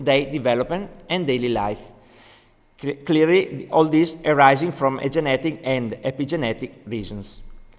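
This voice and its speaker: A man speaks with an Italian accent. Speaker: doctor. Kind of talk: lecture. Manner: halting.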